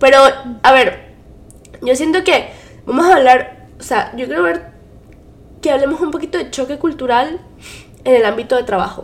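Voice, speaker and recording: A woman at a high pitch, with very wide pitch swings and long, frequent pauses. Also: moderate pace. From Venezuela. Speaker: podcast co-host. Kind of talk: casual chat.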